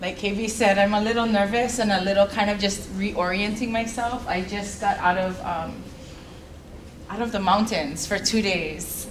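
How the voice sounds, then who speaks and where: Delivered at a moderate pace with fairly even intonation in a Hawaiian accent, the speech carries audible room echo and noticeable background noise. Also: woman. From Hawaii, Kauai. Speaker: researcher and cultural practitioner. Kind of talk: keynote talk. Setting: symposium stage with audience. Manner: loud.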